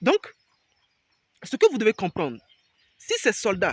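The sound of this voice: A man speaks high in pitch with big pitch swings and a slightly husky edge. His pace is fairly slow, and the sound is dry and close, with no echo.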